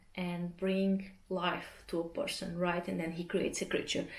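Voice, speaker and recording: A woman with a Portuguese accent and a relaxed tone. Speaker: artist vlogger. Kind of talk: casual vlog talk. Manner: relaxed, hesitant with fillers.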